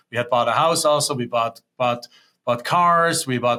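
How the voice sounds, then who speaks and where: Speaking in a German accent, a man uses a bright, sharp tone, fairly even intonation and a moderate pace. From Germany. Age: 50s. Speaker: real estate investor. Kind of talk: interview.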